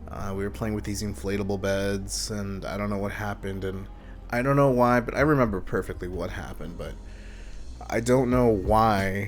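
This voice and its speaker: A man with a fairly low pitch speaks at a moderate pace with ordinary pitch variation, with audible room echo and music in the background. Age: 20s. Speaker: YouTuber. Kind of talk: personal testimony, unedited monologue. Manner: hesitant, many ums.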